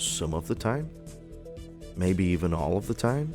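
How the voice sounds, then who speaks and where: A man's voice over music in the background. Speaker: gaming YouTuber. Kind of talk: casual talk to camera. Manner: rambling, hesitant.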